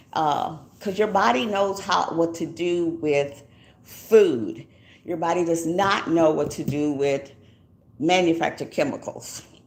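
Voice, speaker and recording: With audible room echo, a woman with a fairly low voice and an American accent speaks at a fairly slow pace with ordinary pitch variation. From Texas, Denton. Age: 70s. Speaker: YouTuber. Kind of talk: casual livestream talk. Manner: chatty, with many fillers.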